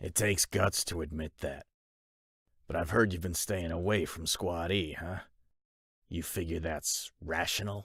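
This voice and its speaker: A man in a put-on character voice speaks very deep and low, raspy, with fairly even intonation, a moderate pace and long, frequent pauses, recorded dry and close with no echo on a very clean track with a silent background. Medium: audio drama. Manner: blunt, dry.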